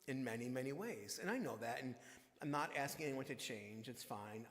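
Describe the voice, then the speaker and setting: Audible room echo surrounds a man speaking at a moderate pace. His pitch is medium and his intonation fairly even. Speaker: minister. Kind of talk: sermon.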